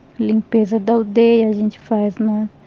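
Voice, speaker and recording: The speaker has a Paraguayan accent. Music plays in the background. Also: woman. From Brazil, Guarani village in Santa Catarina. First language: Guarani (speaking Portuguese). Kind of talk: interview. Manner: halting.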